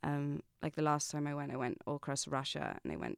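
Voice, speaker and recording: With an American accent, a woman speaks at a very fast pace with a very deep, low pitch, in a very clean, dry, close recording with no echo and a silent background. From England. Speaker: actor and theatre producer. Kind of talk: casual chat.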